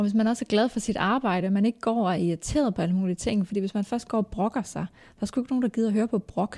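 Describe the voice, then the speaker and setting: Speaking at a very fast pace with very even loudness, a woman has a dark, mellow tone and a fairly high pitch, heard in a dry, close sound with no echo. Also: ordinary pitch variation, very clean recording, silent background. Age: 30s. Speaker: hairdresser. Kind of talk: casual chat. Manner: soft-spoken. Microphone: too far from the mic.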